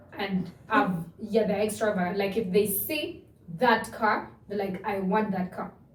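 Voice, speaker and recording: A woman talks at a fairly slow pace with a medium pitch and ordinary pitch variation. The room echo is audible, and there is noticeable background noise. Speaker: podcast co-host. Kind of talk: casual chat. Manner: loud.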